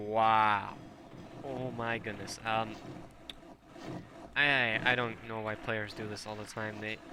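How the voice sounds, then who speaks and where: A man talks at medium pitch in a bright, sharp tone with monotone, flat intonation. He leaves long, frequent pauses, and the room echo is audible. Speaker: game shoutcaster. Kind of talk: live commentary. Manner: hesitant, many fillers; fast.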